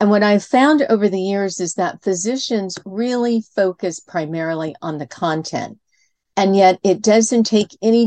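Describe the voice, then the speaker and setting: A woman with a Californian accent at a fairly slow pace, dry and close with no echo. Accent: General American (Californian). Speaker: communication coach. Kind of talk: interview.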